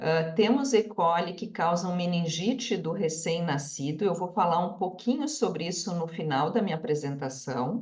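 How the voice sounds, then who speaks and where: A woman with a fairly low pitch speaks at a moderate pace with lively intonation and hardly any pauses, over noticeable background noise. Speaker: microbiology researcher. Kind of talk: lecture.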